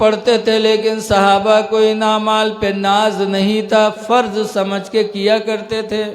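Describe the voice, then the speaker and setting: A man's voice, high in pitch. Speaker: Islamic religious preacher. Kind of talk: religious sermon to a gathering. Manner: humorous, folksy.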